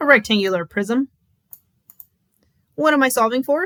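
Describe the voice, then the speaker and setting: A woman with an American accent speaks at a high pitch with very wide pitch swings, in a dry, close sound with no echo. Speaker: math teacher. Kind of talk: tutorial.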